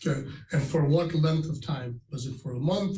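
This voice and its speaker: Somewhat breathy and dark, mellow in tone, a man talks at a moderate pace with a fairly high pitch and ordinary pitch variation. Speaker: lawyer. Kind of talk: courtroom questioning.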